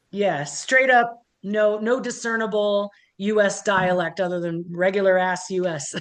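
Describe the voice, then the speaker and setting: A woman's medium-pitched voice with a slight Midwestern accent, fairly slow pace and ordinary pitch variation. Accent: slight Midwest (Cleveland). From US Midwest, Cleveland, Ohio. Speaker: metal musician, keyboardist. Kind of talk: interview. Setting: video call.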